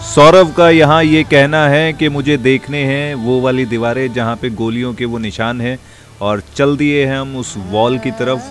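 A man speaks at a fairly slow pace with ordinary pitch variation, the sound dry with no echo and faint music in the background. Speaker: travel vlogger. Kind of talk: casual vlog chat. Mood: cheerful, amused. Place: garden. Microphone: phone near.

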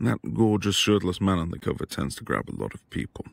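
A man puts on a low-pitched character voice with vocal fry and big pitch swings at a fairly quick pace.

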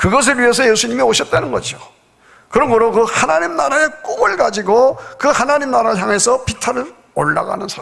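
Pitched extremely high, a man speaks with lively intonation. The background is quiet. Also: fairly quick pace. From South Korea. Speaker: pastor. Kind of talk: sermon. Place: church. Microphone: podium.

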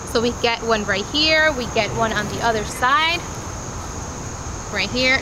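A woman talks at a moderate pace with ordinary pitch variation, the sound dry with no echo but with noticeable background noise. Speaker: parent reviewer. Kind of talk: product review tutorial. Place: open country.

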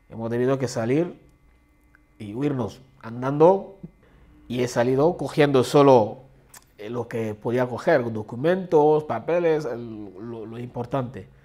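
A man at a very slow pace, with ordinary pitch variation and big swings in loudness. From Central African Republic. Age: 30s. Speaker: refugee. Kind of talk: testimony; interview answer. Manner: halting. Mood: earnest, reflective. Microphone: lapel.

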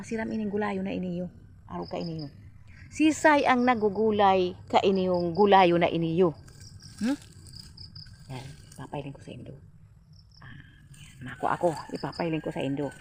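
A woman of medium pitch speaks with very wide pitch swings, big shifts in loudness, and long, frequent pauses. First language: Bikol (speaking Tagalog). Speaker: vlogger. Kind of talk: casual vlog talk.

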